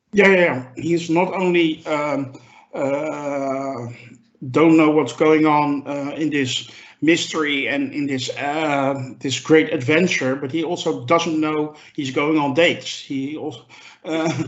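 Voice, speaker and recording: Very slow and fairly even in intonation, a man speaks at a fairly high pitch, with audible room echo around him. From Europe. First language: not English. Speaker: podcast panelist. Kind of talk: casual chat. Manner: halting, many fillers.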